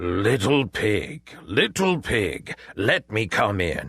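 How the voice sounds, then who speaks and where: Growling in a put-on character voice, a man speaks at a fairly low pitch. His pace is very slow. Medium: read story. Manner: wheedling, scheming.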